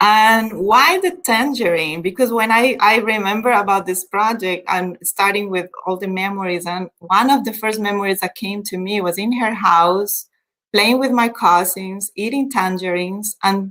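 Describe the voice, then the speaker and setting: Talking at a fairly slow pace, a woman with a bright, sharp tone uses ordinary pitch variation. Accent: Spanish. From Colombia. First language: Spanish. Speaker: event host. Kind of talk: personal storytelling.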